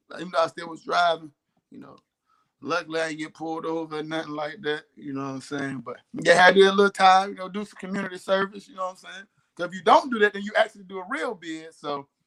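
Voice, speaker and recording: A man with a high pitch, a bright, sharp tone and a Southern US accent. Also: ordinary pitch variation, big swings in loudness. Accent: Southern drawl. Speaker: talk show co-host. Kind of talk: casual chat. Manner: fast; slurred words.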